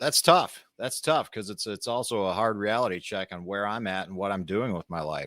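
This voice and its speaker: At a moderate pace with hardly any pauses and ordinary pitch variation, the voice is captured in a very clean recording with a silent background. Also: man, fairly low pitch for a man. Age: 40s. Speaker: podcast host. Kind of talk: casual monologue. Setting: live stream. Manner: halting.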